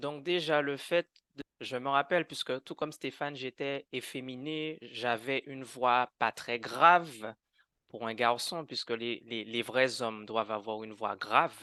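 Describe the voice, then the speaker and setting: Against a quiet background, a man speaks at a fairly slow pace with a bright, sharp tone, ordinary pitch variation and a dry, close sound with no echo. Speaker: conversion therapy survivor. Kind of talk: testimony in a podcast interview. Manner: animated; halting, with repetitions.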